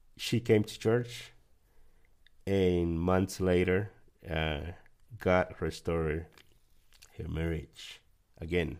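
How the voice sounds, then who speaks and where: In a Guatemalan accent, a man with a very deep, low voice speaks at a very slow pace, using ordinary pitch variation and long, frequent pauses. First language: Spanish. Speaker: church member sharing testimony. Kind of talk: testimony.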